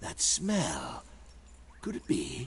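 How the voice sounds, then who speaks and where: A put-on character voice from a man, with clear background noise behind it. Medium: video game. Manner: pompous, drawling.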